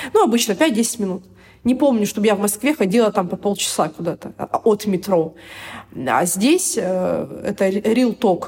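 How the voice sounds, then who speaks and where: Lively intonation from a woman, with noticeable noise in the background. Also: medium pitch for a woman, fairly slow pace. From Siberia, Irkutsk. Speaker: expat blogger, mother on maternity leave. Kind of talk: interview.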